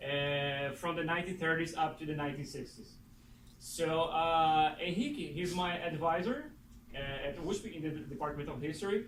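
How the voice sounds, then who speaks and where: Amid noticeable background noise and audible room echo, a man with a Portuguese accent speaks at a moderate pace, his pitch fairly high and his intonation fairly even. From Brazil, Recife. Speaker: doctoral student introducing speaker. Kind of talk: speaker introduction. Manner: halting, many fillers.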